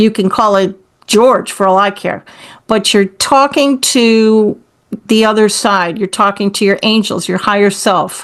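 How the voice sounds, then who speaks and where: A woman with a plain, everyday voice speaks at a fairly slow pace and fairly high pitch, her intonation fairly even and her loudness very even. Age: 60s. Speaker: author and speaker on intuition and forgiveness. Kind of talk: interview.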